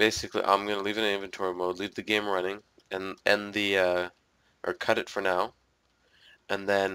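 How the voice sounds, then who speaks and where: The voice stays monotone and flat, broken by long, frequent pauses. The recording is very clean, with a silent background. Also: man, fairly low pitch for a man. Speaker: gaming commentator. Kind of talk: casual gameplay commentary.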